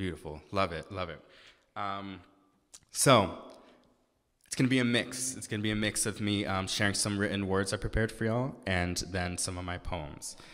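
In an American accent, a man with a very deep, low pitch talks at a moderate pace with ordinary pitch variation. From Massachusetts. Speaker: spoken word poet and activist; spoken word poet. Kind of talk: sermon with spoken word poetry. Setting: synagogue service with live audience. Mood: earnest, serious. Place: church. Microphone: podium.

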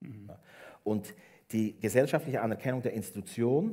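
A man speaks with lively intonation and a dark, mellow tone. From Switzerland, Bernese Oberland; Switzerland. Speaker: education professor; guest. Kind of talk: public talk on stage. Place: hall. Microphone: headset.

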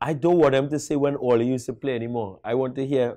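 In a Trinidadian accent, a man speaks with a dark, mellow tone over a quiet background. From Trinidad and Tobago. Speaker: national football coach. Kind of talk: interview. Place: studio. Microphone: lapel.

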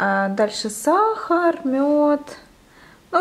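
Her pitch swings very widely as this woman speaks. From Ukraine. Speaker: vlogger. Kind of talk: casual vlog. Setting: outdoors, shopping and beach. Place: home room. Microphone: phone near.

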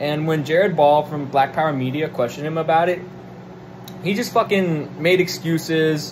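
Noticeable background noise behind a man with a fairly high pitch and a moderate pace. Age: 20s. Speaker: political commentator. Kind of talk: solo monologue rant. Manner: animated; hesitant fillers. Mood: irritated, profane rant. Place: home room. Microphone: phone near.

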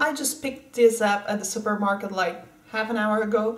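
A woman is speaking. Room echo can be heard around her voice. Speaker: beauty vlogger. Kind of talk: casual makeup tutorial chat. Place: home room. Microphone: webcam.

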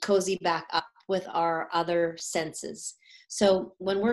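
A woman speaks with monotone, flat intonation. The background is quiet. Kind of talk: live-stream talk to an audience. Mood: warm, calm. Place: home room. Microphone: webcam.

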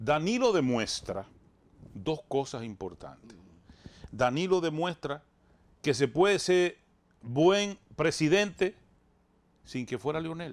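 Using fairly high pitch and very wide pitch swings, a man speaks at a fairly slow pace with long, frequent pauses. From Dominican Republic, rural Bánica; Dominican Republic. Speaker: radio and TV show host; radio, TV show host. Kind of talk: interview, political talk. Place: studio. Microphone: lapel.

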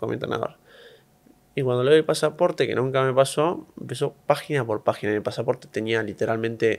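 A man with a Rioplatense accent talks at a very fast pace. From Argentina. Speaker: professional tennis player; interview guest. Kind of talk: interview. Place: studio. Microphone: studio mic.

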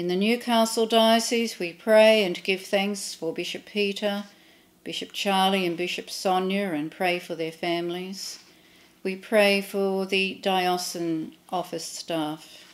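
Speaking at a fairly slow pace, a woman has an Australian accent and fairly even intonation. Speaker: clergy leading prayer. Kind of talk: read prayers of intercession. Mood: calm, reverent. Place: home room.

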